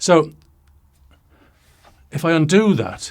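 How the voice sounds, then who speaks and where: A man's somewhat breathy voice. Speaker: product reviewer. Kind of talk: product demo. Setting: home studio. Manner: casual.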